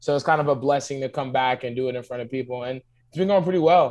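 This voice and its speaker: The speech comes at a very fast pace. It carries a New York accent. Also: man. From Long Island, New York. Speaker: rapper and comedian. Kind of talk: casual interview chat.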